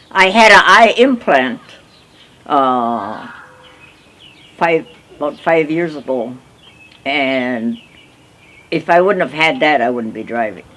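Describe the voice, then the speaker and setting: A woman with an American accent speaks at a very slow pace and very deep, low pitch, using very wide pitch swings and long, frequent pauses amid noticeable background noise. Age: 80s+. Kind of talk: interview answer.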